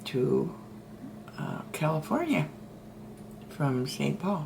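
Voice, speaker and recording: The speaker is a woman. Background noise is noticeable. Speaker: storyteller being interviewed by her daughter. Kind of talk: interview answer, casual storytelling.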